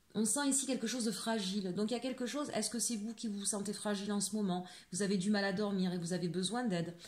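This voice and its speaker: A woman's very fast, somewhat breathy speech at a medium pitch, with ordinary pitch variation, hardly any pauses and audible room echo. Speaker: tarot card reader. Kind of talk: tarot reading guidance. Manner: fast at times; hesitant, many fillers.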